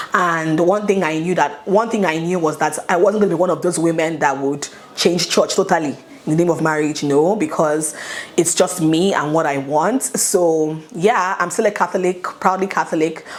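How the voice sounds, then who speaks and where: Speaking at a moderate pace with ordinary pitch variation, the voice has an upbeat tone over noticeable background noise. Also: woman, fairly low pitch for a woman. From Nigeria. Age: 30s. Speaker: YouTuber. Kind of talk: casual talk to camera. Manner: chatty, upbeat.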